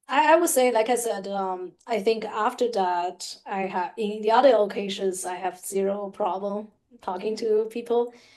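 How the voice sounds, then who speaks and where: With a non-native accent, a woman speaks at a moderate pace with hardly any pauses, her fairly high pitch showing ordinary variation. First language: not English. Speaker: podcast co-host. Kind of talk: casual chat. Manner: halting, many fillers.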